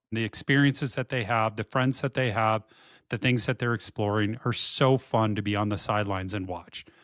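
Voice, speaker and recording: Recorded very cleanly against a silent background with a dry, close sound and no echo, a man talks at a moderate pace in an ordinary speaking voice, fairly low in pitch and fairly even in intonation. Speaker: podcast co-host. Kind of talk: casual chat.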